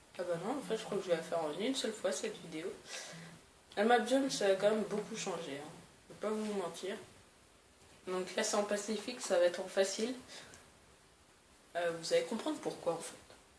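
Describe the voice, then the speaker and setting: Speaking at a fairly quick pace with long, frequent pauses, a woman uses a medium-pitched voice and ordinary pitch variation, with noticeable background noise and audible room echo. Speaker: gaming youtuber. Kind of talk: gameplay commentary. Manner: hesitant, many fillers.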